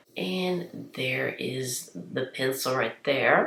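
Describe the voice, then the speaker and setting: A woman's pitch varies in an ordinary way as noticeable background noise carries on behind her. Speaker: beauty vlogger. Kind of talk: product review tutorial. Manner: chatty. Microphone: poor sound.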